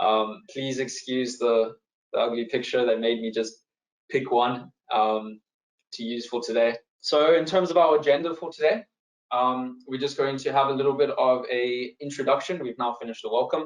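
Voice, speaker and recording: With a South African accent, a man speaks at a moderate pace and medium pitch, with ordinary pitch variation. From South Africa, East London. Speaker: wealth manager. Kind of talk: webinar presentation.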